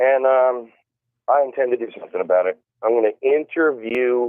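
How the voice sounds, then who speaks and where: Using a plain, everyday voice, a man talks at a moderate pace and medium pitch. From US South, small-town North Carolina. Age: 40s. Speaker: country rap musician. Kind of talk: interview. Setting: phone call.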